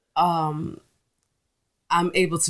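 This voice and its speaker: The speaker has a strong Brooklyn accent and a flat, monotone delivery, captured in a very clean recording with a silent background. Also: woman. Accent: Brooklyn New York accent, thick. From New York, Brooklyn (East Flatbush). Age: 40s. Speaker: food business owner. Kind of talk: casual interview chat.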